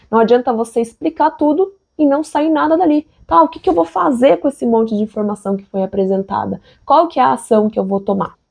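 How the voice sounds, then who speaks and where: Speaking at a fairly quick pace, a woman with a Brazilian accent and a fairly high pitch makes very wide pitch swings. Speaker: engineer and online educator. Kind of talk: sales pitch. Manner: conversational, direct address.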